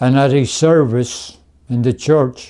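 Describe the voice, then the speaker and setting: A man's fairly high, dark and mellow voice at a very slow pace, with fairly even intonation. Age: 80s+. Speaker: grandfather telling his life story. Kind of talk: documentary interview, life story.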